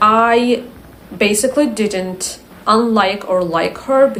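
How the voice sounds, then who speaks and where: A woman with an Azerbaijani accent speaks at a medium pitch with lively intonation, with noticeable background noise and audible room echo. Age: 20s. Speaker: English teacher. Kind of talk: casual vlog talk.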